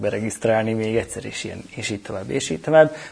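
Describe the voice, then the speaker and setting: Talking at a very fast pace, a man speaks at a fairly low pitch. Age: 40s. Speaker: cloud technology specialist. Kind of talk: interview.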